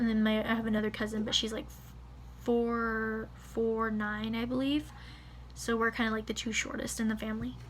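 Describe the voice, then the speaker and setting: Over noticeable background noise and audible room echo, a woman talks in a fairly high pitch with monotone, flat intonation. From California. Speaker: vlogger. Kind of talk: casual vlog reading results. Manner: fast; halting, many fillers.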